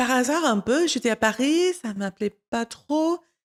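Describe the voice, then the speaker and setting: Recorded very cleanly against a silent background, the speaker has an American accent and a dry, close sound with no echo. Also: woman. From United States. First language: English (speaking French). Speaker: wine content creator. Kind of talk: interview. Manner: halting.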